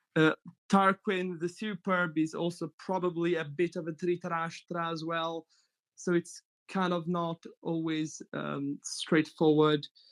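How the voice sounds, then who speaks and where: A man talks at a fairly slow pace with a slight Italian accent. His voice is high-pitched and delivered in a flat monotone. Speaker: mythology enthusiast, panelist. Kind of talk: casual roundtable discussion. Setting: group call.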